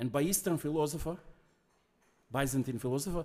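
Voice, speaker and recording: With a non-native accent, a man speaks at a fairly high pitch in a dark, mellow tone with ordinary pitch variation. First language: not English. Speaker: guest lecturer. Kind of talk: academic lecture. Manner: halting.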